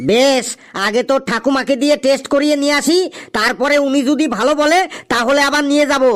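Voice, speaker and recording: Pitched high, a cartoonish character voice speaks at a moderate pace. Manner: wily, teasing.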